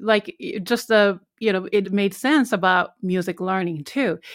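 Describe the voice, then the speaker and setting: On a very clean recording with a silent background, a woman with a Japanese accent speaks at medium pitch and a fairly slow pace with ordinary pitch variation. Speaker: podcast host and piano teacher. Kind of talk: interview.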